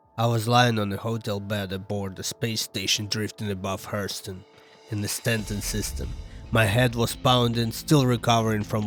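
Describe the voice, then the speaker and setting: Over music in the background, a man speaks at a moderate pace with a fairly low pitch and ordinary pitch variation. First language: non-native English speaker. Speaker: amateur narrator. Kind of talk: sci-fi story narration.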